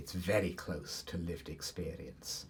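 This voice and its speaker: Somewhat breathy, a man's voice sits very deep and low. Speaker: university professor, Egyptologist. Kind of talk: expert discussion.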